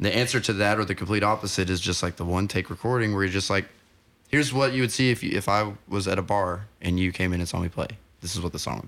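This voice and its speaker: Speaking very fast, a man uses a fairly low pitch. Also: ordinary pitch variation. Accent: American. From Oklahoma (Ada). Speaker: musician and songwriter. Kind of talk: casual interview chat. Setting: home recording studio.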